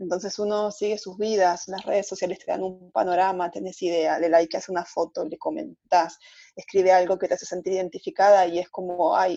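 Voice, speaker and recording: Speaking in an Argentine accent, a woman moves at a fairly quick pace. Her tone is dark and mellow. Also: medium pitch for a woman, ordinary pitch variation. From Argentina. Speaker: travel blogger. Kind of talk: casual interview.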